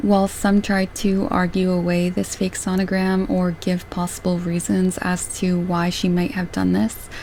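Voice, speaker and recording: The speaker talks at a moderate pace with very even loudness. Background noise is noticeable, and the intonation stays fairly even. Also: woman, medium pitch for a woman, hardly any pauses. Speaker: true crime YouTuber. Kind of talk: scripted narration.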